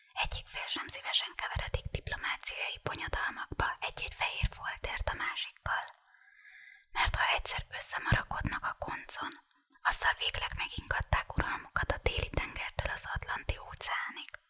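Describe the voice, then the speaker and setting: The voice whispers in a calm tone at a moderate pace. Noticeable background noise sits behind it. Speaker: ASMR reader. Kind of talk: audiobook reading of a novel for sleep. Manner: whispered; calm, relaxing.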